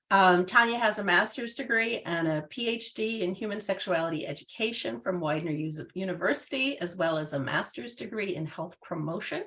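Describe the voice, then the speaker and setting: Against noticeable background noise, a woman speaks at a fairly quick pace and medium pitch with lively intonation and hardly any pauses. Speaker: sex education program manager. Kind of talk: webinar introduction. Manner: halting, many fillers.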